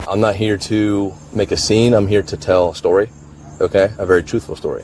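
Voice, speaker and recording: A man talks at a fairly quick pace with an American accent. Noticeable background noise is present. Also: fairly low pitch for a man, fairly even intonation. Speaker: police officer. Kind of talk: police interview. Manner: stutter; halting.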